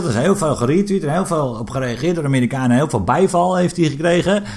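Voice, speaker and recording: Over noticeable background noise, a man with a fairly high voice speaks at a fairly quick pace. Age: 30s. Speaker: podcast co-host. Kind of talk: casual chat. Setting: studio.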